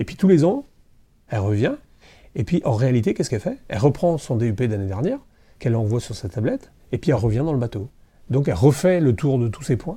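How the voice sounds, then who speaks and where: Over a silent background in a very clean recording, a man speaks at a very fast pace with long, frequent pauses, his medium-pitched voice somewhat breathy and dark, mellow in tone, with lively intonation. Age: 50s. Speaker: festival president and entrepreneur. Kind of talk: interview. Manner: hesitant, many fillers.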